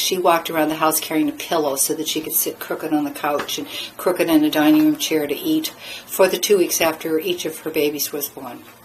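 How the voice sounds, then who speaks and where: A woman speaks at a fairly quick pace and a fairly low pitch, with fairly even intonation. Noticeable background noise runs underneath. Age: 60s. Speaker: midwife and former nurse. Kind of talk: monologue to camera. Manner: halting, with fillers and restarts.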